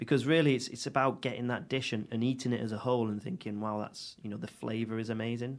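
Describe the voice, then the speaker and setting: Speaking at a very fast pace, a man uses a Mancunian accent. His voice is medium-pitched with ordinary pitch variation. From Manchester, England (Audenshaw). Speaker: chef and restaurateur. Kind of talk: casual chat.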